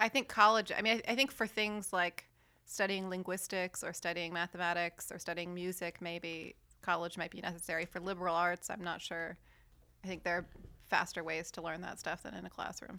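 A woman speaks at a fairly quick pace with an American accent, her pitch fairly low and her tone bright and sharp. Her intonation stays fairly even while her loudness swings widely, on a very clean recording with a silent background. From Virginia. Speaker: graduate student. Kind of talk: casual chat.

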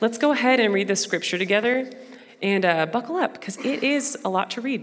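With an American accent, a woman talks very fast in a lively, varied intonation over noticeable background noise. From Brazil and Dallas, Texas (bicultural). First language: Portuguese. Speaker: missions mobilizer, guest speaker at church. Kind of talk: sermon. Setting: church with congregation. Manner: casual, filler-heavy.

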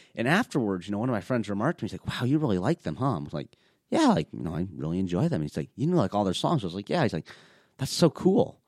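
At a very fast pace, a man with an American accent speaks at a fairly low pitch with very wide pitch swings. The sound is dry and close, with no echo. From Minnesota, US Midwest. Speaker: wheelchair rugby player. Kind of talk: interview conversation.

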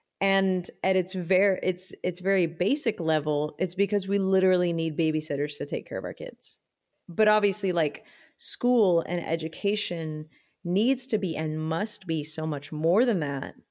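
Speaking at a moderate pace in an ordinary speaking voice, a woman with an American accent shows ordinary pitch variation on a very clean recording with a silent background. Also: medium pitch for a woman. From Texas, Austin. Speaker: musician. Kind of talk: casual chat.

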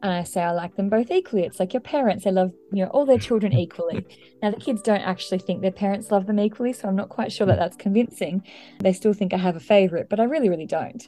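A woman's dark, mellow voice with an Australian accent, at a very fast pace with ordinary pitch variation. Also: medium pitch for a woman. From Australia, rural New South Wales. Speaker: language teacher. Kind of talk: interview.

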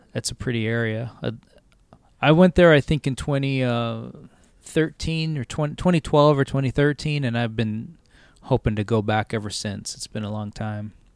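In a Californian accent, a man speaks at a moderate pace and medium pitch with ordinary pitch variation, recorded very cleanly with a silent background and a dry, close sound with no echo. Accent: Californian American English. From Southern California, Los Angeles suburbs. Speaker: TV editor. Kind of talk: casual chat. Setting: tree fort.

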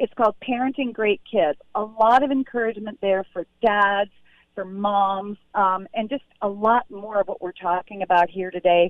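A woman speaks in a plain, everyday voice, her pitch medium and ordinary in its variation, moving at a moderate speed. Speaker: pediatrician and author. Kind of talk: interview about her book.

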